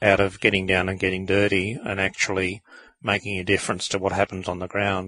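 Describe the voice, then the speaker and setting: A man's very deep, low voice with a bright, sharp tone and an Australian accent, in a dry, close sound with no echo. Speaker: podcast co-host, author. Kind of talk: casual chat.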